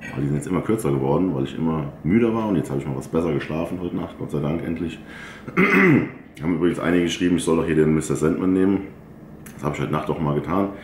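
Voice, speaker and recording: A man talks very fast in a very deep, low voice with ordinary pitch variation. The room echo is audible and there is light background noise. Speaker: bodybuilder vlogger. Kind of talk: casual vlog chat. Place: home room.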